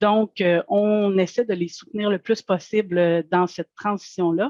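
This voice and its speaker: A woman with a plain, everyday voice talks fairly slowly at a medium pitch, her intonation fairly even and the sound dry and close with no echo. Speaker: food safety certification advisor. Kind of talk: webinar presentation. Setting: online webinar.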